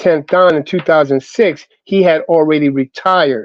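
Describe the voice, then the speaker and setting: Recorded dry and close with no echo, a man with a plain, everyday voice talks at a fairly slow pace, his pitch fairly high and ordinary in its variation. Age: 60s. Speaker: martial arts grandmaster. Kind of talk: casual chat.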